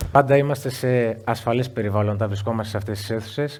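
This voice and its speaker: A man talks very fast, his intonation staying fairly even. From Greece, Igoumenitsa (Epirus). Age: 40s. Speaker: interview guest, coach. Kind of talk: live interview before an audience. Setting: stage with audience.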